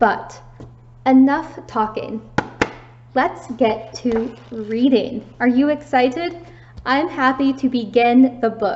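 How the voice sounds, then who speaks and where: Speaking in an American accent with ordinary pitch variation, the voice moves at a very slow pace with long, frequent pauses. Background noise is noticeable. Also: woman, high pitch for a woman. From United States. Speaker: English teacher. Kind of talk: online lesson for students. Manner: slow, clear.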